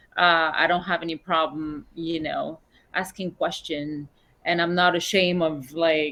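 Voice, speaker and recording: This woman has a fairly low pitch and a bright, sharp tone. She speaks with a non-native accent. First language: not English. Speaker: musician. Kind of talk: interview.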